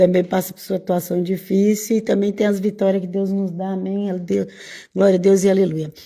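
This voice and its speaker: In a monotone, flat way, a woman with a dark, mellow tone and medium pitch speaks at a moderate pace, with big swings in loudness. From Brazil, Bahia. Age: 60s. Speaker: evangelical preacher. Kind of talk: casual informal sermon. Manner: halting.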